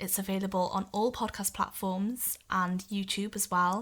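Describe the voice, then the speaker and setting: A woman's medium-pitched voice with a Welsh accent, monotone and flat, at a moderate pace, on a very clean recording with a silent background. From Wales. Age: 20s. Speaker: podcast guest living with muscular dystrophy. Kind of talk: interview.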